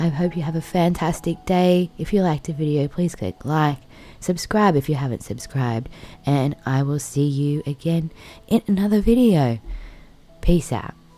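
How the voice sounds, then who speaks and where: With an Australian accent, a woman speaks at a moderate pace in a relaxed tone, her very deep, low voice dark and mellow yet lively in intonation. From Australia, Blue Mountains NSW. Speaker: vlogger. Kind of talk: vlog outro.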